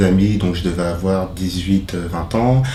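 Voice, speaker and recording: A fairly low-pitched man at a fairly slow pace with ordinary pitch variation, plus audible room echo and noticeable background noise. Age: 30s. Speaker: social mediator. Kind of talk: interview testimony. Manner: hesitant, many fillers.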